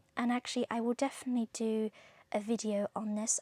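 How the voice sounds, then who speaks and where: A woman with a fairly high, somewhat breathy voice talks at a moderate pace in a monotone, flat way, with a dry, close sound and no echo. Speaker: tarot reader. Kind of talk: tarot reading monologue. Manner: occasional stutter; casual, chatty.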